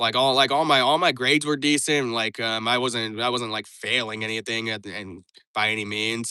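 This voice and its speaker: A man's bright, sharp voice at medium pitch and a fairly quick pace. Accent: American. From United States. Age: 20s. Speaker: live streamer. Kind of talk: casual chat. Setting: live stream. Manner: monotone; halting.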